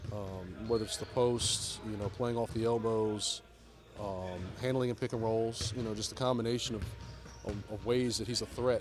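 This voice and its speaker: Someone mumbles at a moderate pace in a monotone, flat voice, with music in the background and audible room echo. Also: man, medium pitch for a man. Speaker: NBA head coach. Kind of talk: press conference. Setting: media availability after practice. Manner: mumbling; halting, many fillers.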